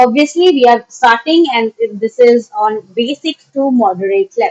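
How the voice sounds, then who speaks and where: In an Indian accent, a woman talks at a high pitch with lively intonation, the sound dry and close with no echo. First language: Maithili. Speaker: online teacher. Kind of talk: lecture. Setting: live stream. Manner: halting, many fillers.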